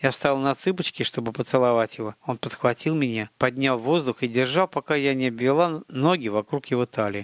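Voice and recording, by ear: A natural voice reads the words aloud. Its pitch moves in an ordinary way.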